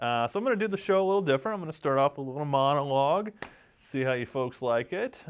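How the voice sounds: Lively intonation marks this man's fairly high voice. He talks at a fast pace with a clear, smooth tone.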